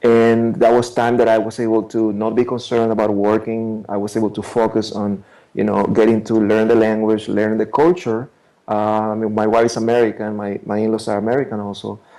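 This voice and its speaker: A man with a Spanish accent talks at a fairly quick pace in a medium-pitched, dark, mellow tone with monotone, flat intonation over a quiet background. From Ecuador, Guayaquil. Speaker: immigration attorney. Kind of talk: interview. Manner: halting, with frequent repetitions.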